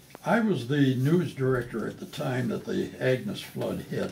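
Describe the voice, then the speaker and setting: Over noticeable background noise and audible room echo, a man talks at a fairly slow pace in a medium pitch. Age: 80s+. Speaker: retired TV news director. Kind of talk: casual chat.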